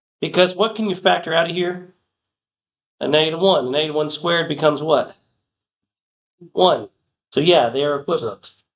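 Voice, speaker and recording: This man's voice is loud and high-pitched, with ordinary pitch variation. He moves at a fairly quick pace but leaves long, frequent pauses. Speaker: math teacher. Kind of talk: classroom lecture.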